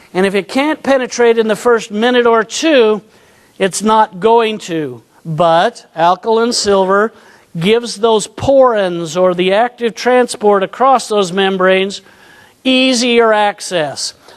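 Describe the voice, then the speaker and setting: A man's high voice carries ordinary pitch variation as he talks at a fairly slow pace. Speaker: naturopathic doctor, conference lecturer. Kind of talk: lecture.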